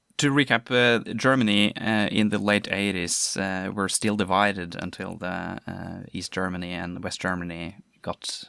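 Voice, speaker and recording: A man with a Norwegian accent and fairly low pitch, bright, sharp tone and big swings in loudness, in a very clean recording with a silent background. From Norway. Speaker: podcast host. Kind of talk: podcast interview. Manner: halting.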